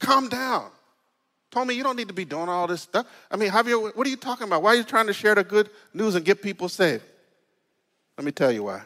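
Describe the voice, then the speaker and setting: On a very clean recording with a silent background, a man with a high pitch and ordinary pitch variation speaks at a very fast pace in a raised, projected voice, with a bright, sharp, animated tone and long, frequent pauses. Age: 50s. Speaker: pastor leading bible study. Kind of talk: bible study.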